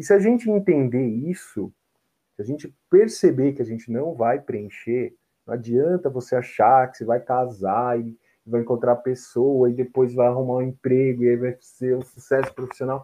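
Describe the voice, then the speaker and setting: A man talks at a moderate pace with medium pitch and ordinary pitch variation. His is an unremarkable speaking voice. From Brazil, São Paulo. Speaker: photographer and psychology student. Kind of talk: casual chat.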